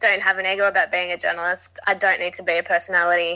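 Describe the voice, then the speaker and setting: With an Australian accent, a woman speaks at a medium pitch in a bright, sharp tone. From Sydney, Australia. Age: 30s. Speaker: magazine editor and journalist. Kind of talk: casual interview.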